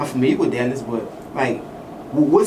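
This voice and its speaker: Noticeable noise runs in the background. The words come fairly quickly. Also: man. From Louisiana. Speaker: interviewer. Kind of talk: casual interview. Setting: in a car. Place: studio.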